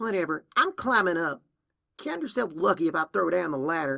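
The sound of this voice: Using a put-on character voice, a man with a fairly high pitch and a bright, sharp tone speaks at a moderate pace with big pitch swings and vocal fry.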